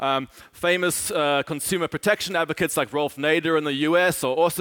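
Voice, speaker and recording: Recorded with a dry, close sound and no echo, a man speaks at a fairly high pitch with fairly even intonation. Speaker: author and speaker on cash and finance. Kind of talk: conference talk. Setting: stage with audience. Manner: fast talker.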